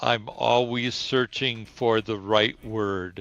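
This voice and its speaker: A man's monotone, flat delivery at medium pitch and a very slow pace, with music in the background. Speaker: teacher. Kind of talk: interview. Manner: slow, searching for words.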